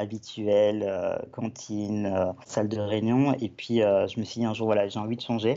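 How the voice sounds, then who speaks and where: The man's pitch sits at a medium level. His pace is fairly slow. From Belgium. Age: 20s. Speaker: web and app developer. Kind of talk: podcast interview. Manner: halting, many fillers and repetitions.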